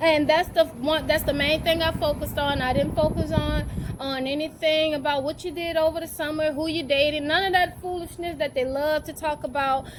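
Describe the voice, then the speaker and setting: A woman talks at a fairly quick pace in an animated tone, her pitch high and her speech with hardly any pauses, over noticeable background noise. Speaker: teacher vlogger. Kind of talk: casual vlog talk. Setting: at school on a break.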